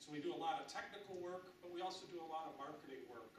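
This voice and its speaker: A man with an American accent at a moderate pace, with noticeable background noise and audible room echo. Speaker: industry association representative. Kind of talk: presentation.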